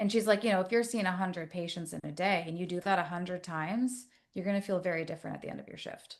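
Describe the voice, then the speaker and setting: A woman talks at a very fast pace in a medium-pitched voice. Her loudness swings widely. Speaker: therapist. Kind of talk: casual chat. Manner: animated.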